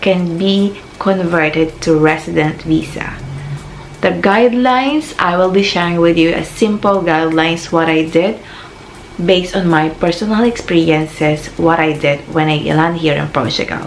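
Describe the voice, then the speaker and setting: A woman with a Filipino accent and fairly low pitch speaks at a moderate pace with ordinary pitch variation. Music plays in the background, and there is audible room echo. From Philippines. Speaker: vlogger. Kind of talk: casual advice vlog.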